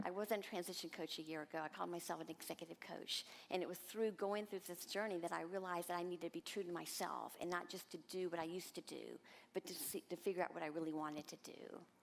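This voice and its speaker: Her pitch is fairly low and her intonation fairly even, with vocal fry. The woman talks at a very fast pace. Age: 60s. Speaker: transition coach, program participant. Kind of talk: testimonial talk on stage. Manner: halting, with fillers and restarts.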